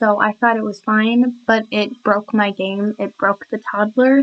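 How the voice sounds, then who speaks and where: A woman's fairly high-pitched voice at a fairly slow pace. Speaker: gaming youtuber. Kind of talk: voiceover commentary. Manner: halting, stumbling over words.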